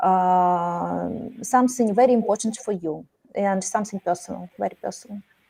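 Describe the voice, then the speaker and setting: The voice belongs to a woman with a dark, mellow tone. She speaks at a moderate pace. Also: medium pitch for a woman, ordinary pitch variation. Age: 40s. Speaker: language learner. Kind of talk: casual chat. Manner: halting.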